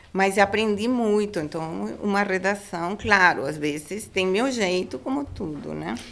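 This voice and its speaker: A woman with a Spanish accent speaks at a fairly slow pace, her intonation lively and hardly any pauses breaking her speech. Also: medium pitch for a woman. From Panama. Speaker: food industry regulatory professional. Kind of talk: interview. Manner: halting.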